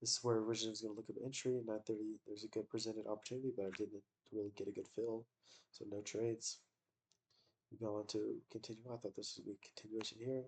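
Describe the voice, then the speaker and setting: The speaker is quiet and talks at a very fast pace. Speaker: day trader. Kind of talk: casual trading review. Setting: in bed, recording on laptop. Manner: quiet, keeping voice down.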